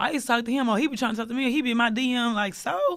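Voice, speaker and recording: A woman with an American accent speaks very fast in a fairly high voice with ordinary pitch variation, on a very clean recording with a silent background. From southeast Texas. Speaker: rapper. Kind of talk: casual interview.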